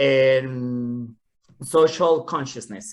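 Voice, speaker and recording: With a strong Mexican accent, a man speaks with ordinary pitch variation over a quiet background. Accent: heavy Mexican Spanish. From Mexico, Guadalajara. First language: Spanish. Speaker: nonprofit executive director. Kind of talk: panel Q&A. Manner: halting.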